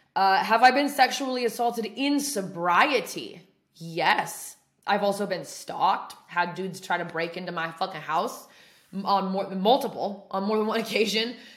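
A woman speaks loudly in an American accent. Her pitch varies in an ordinary way. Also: medium pitch for a woman, moderate pace. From Oregon. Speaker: podcast host, person in addiction recovery. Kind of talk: casual chat. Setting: apartment.

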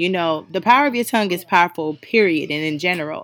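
A woman speaks at a fairly quick pace in an animated tone. Her fairly low voice sounds bright and sharp. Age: 20s. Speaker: podcast host. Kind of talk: casual motivational monologue.

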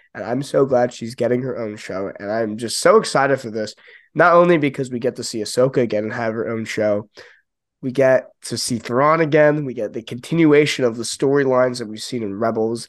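An unremarkable speaking voice from a man, at a medium pitch and a fairly quick pace with ordinary pitch variation. His loudness swings widely against a quiet background. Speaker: podcast co-host. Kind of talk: casual chat.

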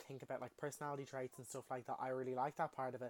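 In an Irish accent, a man at medium pitch speaks in an animated tone, with a dry, close sound and no echo. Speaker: podcast host. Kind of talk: casual monologue.

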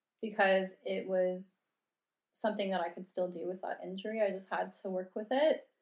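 With a western Canadian accent, a woman speaks at a medium pitch. Her pace is moderate and her intonation fairly even. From Canada, Red Deer, Alberta. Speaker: yoga teacher and podcast co-host. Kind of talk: casual chat.

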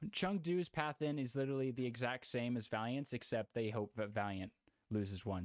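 An ordinary speaking voice with an American accent moves at a moderate pace with ordinary pitch variation, in a dry, close sound with no echo on a very clean recording with a silent background. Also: man. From Houston, Texas. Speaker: esports podcast host. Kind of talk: casual chat.

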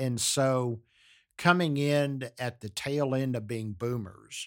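A man with an American accent on a very clean recording against a silent background. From US South, Galveston, Texas. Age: 60s. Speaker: podcast host's father. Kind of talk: casual chat.

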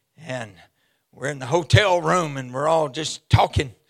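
A fairly high-pitched man with a Southern US accent, an animated tone and vocal fry. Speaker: visiting preacher. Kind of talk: sermon. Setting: church with congregation. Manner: animated, exuberant, call-and-response; loud, preaching in full flow.

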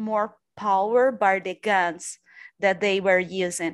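Very slow speech over a quiet background. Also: woman. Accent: Portuguese. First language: Portuguese. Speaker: PhD candidate in literature. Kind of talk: academic discussion.

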